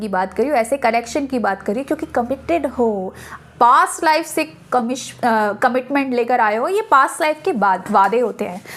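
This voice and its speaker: A high-pitched woman's voice with lively intonation at a fairly slow pace. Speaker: tarot card reader. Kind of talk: tarot reading monologue.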